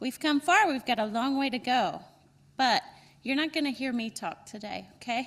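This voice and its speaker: With a North Carolina accent, a woman talks in a high voice with lively intonation. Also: moderate pace. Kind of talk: welcome speech at conference.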